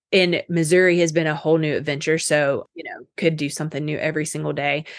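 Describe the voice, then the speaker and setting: With an American accent, a woman speaks in a plain, everyday voice at a moderate pace. Her pitch is fairly low, and the background is quiet. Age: 30s. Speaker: health coach. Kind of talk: casual chat.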